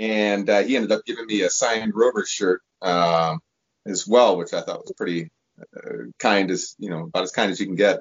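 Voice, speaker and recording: A man with a Midwestern accent talks at a fairly quick pace. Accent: American Midwest. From US Midwest, Chicago suburbs. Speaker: football fan. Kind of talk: casual interview.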